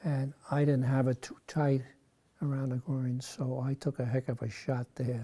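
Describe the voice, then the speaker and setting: A man with an American accent speaks at a medium pitch, somewhat breathy and in a monotone, flat way. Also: moderate pace. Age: 90s. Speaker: war veteran. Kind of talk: interview.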